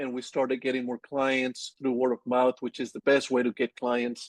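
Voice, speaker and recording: This is a man speaking with a Colombian accent. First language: Spanish. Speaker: agency owner. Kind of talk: interview. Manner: halting.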